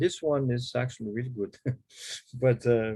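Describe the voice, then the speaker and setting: With a Portuguese accent, a man speaks at a medium pitch and a fairly slow pace. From Brazil. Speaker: harmonica player. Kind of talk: workshop Q&A. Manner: halting.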